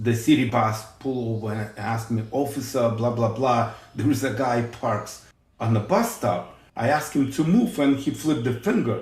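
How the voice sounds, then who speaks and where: A man with a strong Russian accent speaks at a moderate pace in a medium pitch with ordinary variation. His voice is somewhat breathy, and there is audible room echo. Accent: heavy Russian. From Ukraine, Odessa. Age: 50s. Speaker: police officer. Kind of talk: casual chat.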